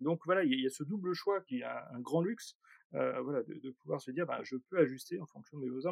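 The recording has a dry, close sound with no echo as a man talks at a fairly quick pace. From Brittany, France (Rennes). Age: 30s. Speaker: startup founder. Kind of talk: interview. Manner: halting, many repetitions and fillers.

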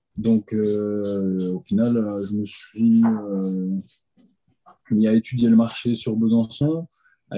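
Dark and mellow in tone, a man's voice sits at a medium pitch. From Alsace, France. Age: 20s. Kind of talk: interview testimony.

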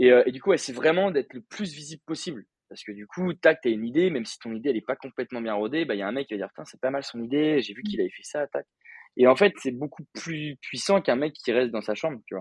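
A man speaks at a very fast pace with fairly high pitch and lively intonation. His loudness swings widely, and the sound is dry and close with no echo. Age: 20s. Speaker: content creator and freelancer. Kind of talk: casual interview. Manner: hesitant, many fillers.

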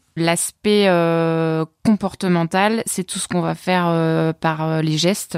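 A woman speaks very slowly in a fairly low, monotone voice with flat intonation. The recording is very clean, with a silent background and a dry, close sound with no echo. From Normandy, Orne, rural. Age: 30s. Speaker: person living with OCD and depression. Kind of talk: testimony. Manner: halting.

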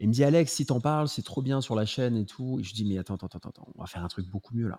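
A man at medium pitch talks fairly quickly in a dark, mellow tone with lively intonation. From France, Paris. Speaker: watch YouTuber. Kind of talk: casual chat. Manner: unfiltered, uninhibited tone.

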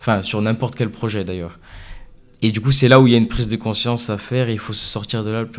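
A man with a fairly low pitch talks with fairly even intonation on a very clean recording with a silent background. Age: 20s. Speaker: tech entrepreneur. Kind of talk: interview. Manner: hesitant, many fillers.

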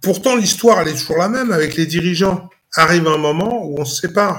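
High-pitched male speech, with ordinary pitch variation. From Paris region, Saint-Denis. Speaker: former football coach. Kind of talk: casual interview.

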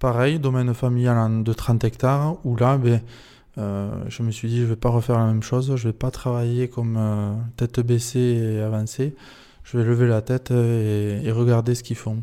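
On a very clean recording with a silent background, a man speaks at a moderate pace in a dark, mellow tone, at medium pitch with monotone, flat intonation. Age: 30s. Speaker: winemaker. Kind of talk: interview on site. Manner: hesitant, many fillers.

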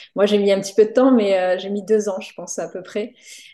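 Her dark, mellow tone moves at a fairly quick pace as the woman keeps a fairly even intonation. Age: 30s. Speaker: graphic design business owner. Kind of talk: podcast interview.

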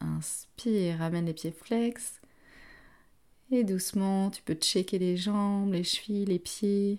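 A woman speaks at a very slow pace and a medium pitch. Her long, frequent pauses sit in a very clean recording with a silent background. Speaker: yoga teacher. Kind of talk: guided yoga class. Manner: soft-spoken.

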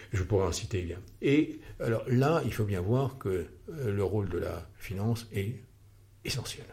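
A man speaks in a fairly low, somewhat breathy voice with a dark, mellow tone and lively intonation. Long, frequent pauses break up his speech, and room echo is audible. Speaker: financial consultant and former senior finance official. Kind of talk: interview, lecture-like explanation. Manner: halting, with many hesitations and repetitions; formal.

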